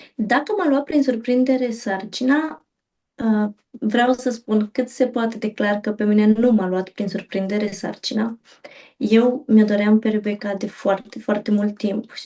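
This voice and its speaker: Fairly high-pitched, somewhat breathy speech from a woman, dark and mellow in tone, with fairly even intonation. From Romania, Bucharest. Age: 30s. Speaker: mother sharing birth stories. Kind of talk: interview testimony.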